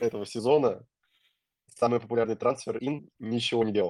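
In a very clean recording with a silent background and a dry, close sound with no echo, a man talks at a fairly quick pace with a medium pitch and monotone, flat intonation. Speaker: fantasy football streamer. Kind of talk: casual live stream chat.

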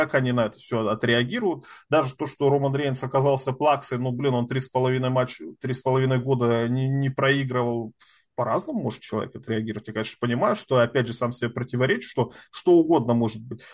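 Over a silent background in a very clean recording, a man at medium pitch talks at a very fast pace with ordinary pitch variation. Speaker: podcast panelist. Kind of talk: casual chat. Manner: animated.

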